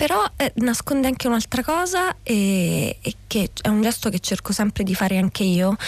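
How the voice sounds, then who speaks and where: Somewhat breathy, a woman's fairly high voice moves with lively intonation. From southern Lazio, Italy (Scauri, Gulf of Gaeta). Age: 40s. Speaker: novelist. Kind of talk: radio interview. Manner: halting, frequent repetitions.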